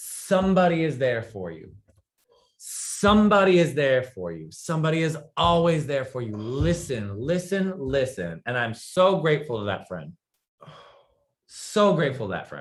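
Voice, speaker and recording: On a very clean recording with a silent background, a man with a fairly high pitch speaks at a moderate pace in an animated tone, with very wide pitch swings and big swings in loudness. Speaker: talk show guest. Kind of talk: casual interview chat.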